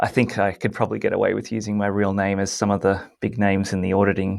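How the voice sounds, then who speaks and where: The delivery is monotone and flat, moving at a moderate pace. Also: man. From Australia or New Zealand. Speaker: bug bounty hunter. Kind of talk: casual interview.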